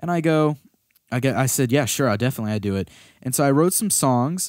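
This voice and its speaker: An animated man races along at a very fast pace with ordinary pitch variation on a very clean recording with a silent background. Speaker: musician and podcast co-host. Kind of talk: casual chat. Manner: stutter.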